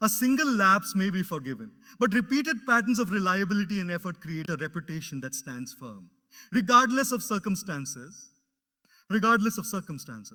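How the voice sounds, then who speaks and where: A man's raised, projected voice in a high pitch with a bright, sharp tone, very wide pitch swings, big swings in loudness and a fairly quick pace, on a very clean recording with a silent background. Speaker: motivational speaker. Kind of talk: motivational speech.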